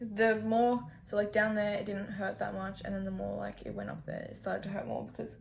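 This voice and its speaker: An Australian accent is heard. The speaking pace is moderate. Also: woman. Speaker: youtuber. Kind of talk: casual vlog chat. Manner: casual, filler-heavy.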